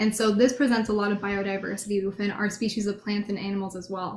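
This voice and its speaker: Somewhat breathy, a woman speaks very fast at a medium pitch. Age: 20s. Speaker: beauty pageant contestant. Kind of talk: pageant interview. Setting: video call.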